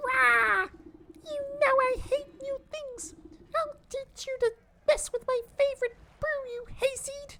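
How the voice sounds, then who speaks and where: Extremely high-pitched, this put-on character voice moves at a fairly slow pace. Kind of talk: gruff, insulting. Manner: angry, growling.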